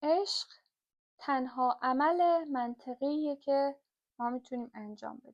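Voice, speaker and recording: At a very slow pace, a woman speaks in a high voice. Her pitch varies in an ordinary way. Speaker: book reader and explainer. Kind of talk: reading aloud with commentary. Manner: hesitant, with fillers.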